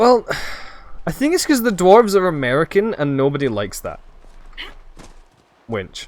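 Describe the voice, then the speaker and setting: Speaking with a Scottish accent, a man leaves long, frequent pauses. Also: moderate pace. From Scotland. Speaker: video game streamer. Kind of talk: live gaming stream chat. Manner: casual, chatty with fillers.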